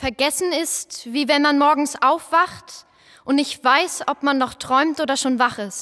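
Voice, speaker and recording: A woman's raised, projected voice, high and bright with a sharp tone, at a very slow pace with fairly even intonation. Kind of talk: poetic spoken performance, lines passed between voices.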